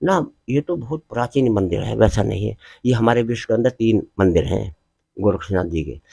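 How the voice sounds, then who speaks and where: Dark and mellow in tone, a man's voice shows vocal fry and lively intonation, with a dry, close sound and no echo. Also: medium pitch for a man, moderate pace. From western Uttar Pradesh, Bulandshahr area. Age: 80s+. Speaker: temple priest. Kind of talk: interview.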